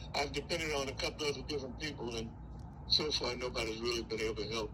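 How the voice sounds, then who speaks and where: Audible room echo and noticeable background noise are present. A man races through his words at a very fast pace. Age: 80s+. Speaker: retired homeowner in foreclosure. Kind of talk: phone call. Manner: halting.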